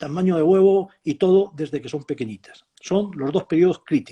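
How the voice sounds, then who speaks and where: High-pitched man's voice with a dark, mellow tone, ordinary pitch variation, and a dry, close sound with no echo. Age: 70s. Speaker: professor. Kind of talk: interview. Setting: live video stream.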